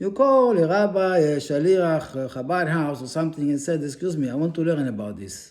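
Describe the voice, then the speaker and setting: This man talks at a moderate pace with lively intonation and a dark, mellow tone. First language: not English. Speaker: religious teacher. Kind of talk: religious lecture.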